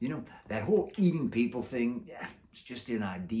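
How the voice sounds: This clip features a natural reading voice. That is how it sounds throughout.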